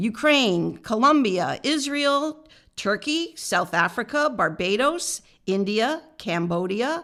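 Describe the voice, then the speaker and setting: A woman with an American accent speaks very slowly at a fairly high pitch, her tone bright and sharp. Her pitch swings very widely, and the recording is very clean with a silent background. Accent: American, nasal twang. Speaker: podcast co-host. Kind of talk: casual chat, reading a list aloud.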